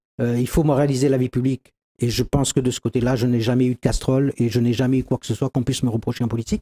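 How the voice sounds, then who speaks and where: A man's dark, mellow voice at medium pitch, very fast and flat in a monotone, the sound dry and close with no echo. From Réunion. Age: 60s. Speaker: doctor and local politician. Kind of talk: TV interview.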